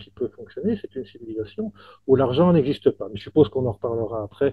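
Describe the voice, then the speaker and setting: A somewhat breathy man at a fairly quick pace, with very wide pitch swings. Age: 60s. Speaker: author. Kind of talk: interview. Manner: halting, with many repetitions.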